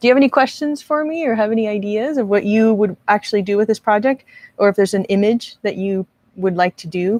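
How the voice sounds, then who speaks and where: A woman speaks at a fairly quick pace with a fairly high pitch and lively intonation. The sound is dry and close, with no echo. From US West Coast, Marin County, California. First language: Spanish. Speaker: art instructor and video creator. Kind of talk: live stream tutorial. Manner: casual, chatty.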